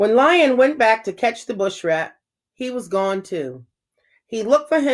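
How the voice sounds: Quiet surroundings behind a natural reading voice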